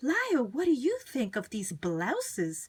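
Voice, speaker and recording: A woman does a put-on character voice, pitched high and swinging very widely up and down, at a moderate pace. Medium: read story. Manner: gushing, fond.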